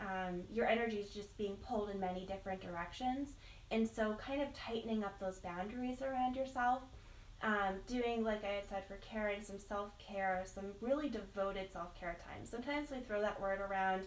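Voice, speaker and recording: This woman's voice shows ordinary pitch variation, with audible room echo and noticeable background noise. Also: medium pitch for a woman, moderate pace. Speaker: tarot card reader. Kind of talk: live psychic reading. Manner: hesitant with many fillers.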